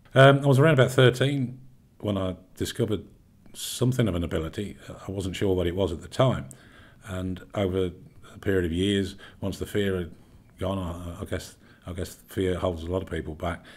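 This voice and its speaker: A man with a London accent talks at a fairly quick pace, yet with long, frequent pauses. His voice is very deep and low, with ordinary pitch variation. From London, England. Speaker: medium and healer. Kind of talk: self-introduction to camera. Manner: hesitant, many fillers and repeats.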